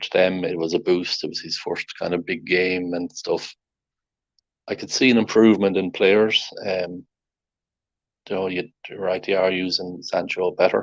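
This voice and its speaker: In an Irish accent, a man with a very deep, low pitch speaks in a monotone, flat intonation at a moderate pace, with big swings in loudness and long, frequent pauses. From Ireland. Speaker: football podcast host. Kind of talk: casual chat.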